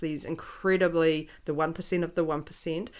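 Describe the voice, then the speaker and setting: Fairly quick, fairly even speech in a New Zealand accent. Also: woman. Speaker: podcast co-host. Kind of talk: casual podcast conversation.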